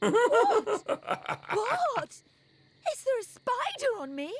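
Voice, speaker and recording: This put-on character voice moves at a very slow pace, its pitch swinging very widely. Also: woman, extremely high pitch for a woman. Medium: video game. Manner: chatty, gossipy.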